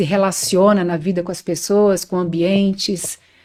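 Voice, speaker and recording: On a very clean recording with a silent background, a woman talks at a moderate pace in an ordinary speaking voice. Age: 60s. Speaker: spiritual teacher on astral projection and bioenergy. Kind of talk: podcast interview, personal testimony.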